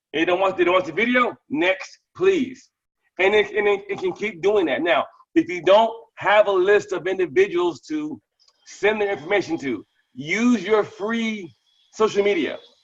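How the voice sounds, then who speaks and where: The voice is loud, with very wide pitch swings. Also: man, high pitch for a man. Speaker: crypto app promoter. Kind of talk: live webinar Q&A. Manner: fast.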